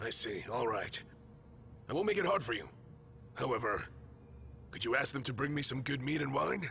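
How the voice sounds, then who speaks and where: Against clear background noise, a man puts on a raspy character voice at medium pitch, with lively intonation, a moderate pace and long, frequent pauses. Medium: fan dub. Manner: blunt, quick-tempered.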